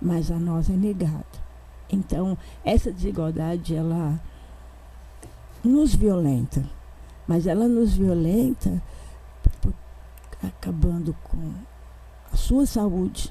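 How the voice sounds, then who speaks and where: A woman speaks at a very slow pace, with long pauses coming often. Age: 70s. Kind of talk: panel discussion.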